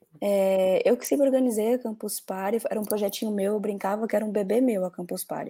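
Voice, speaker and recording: Hardly pausing, a woman talks at a fairly quick pace in a fairly high pitch, her tone dark and mellow and her intonation fairly even. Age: 20s. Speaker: marketing executive. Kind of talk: interview.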